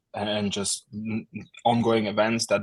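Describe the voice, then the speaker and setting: A man with an Estonian accent talks in a monotone, flat intonation at a fairly low pitch. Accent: Russian-speaking Estonian English. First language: Russian. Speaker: war translator, social media manager. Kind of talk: interview. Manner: halting, many fillers.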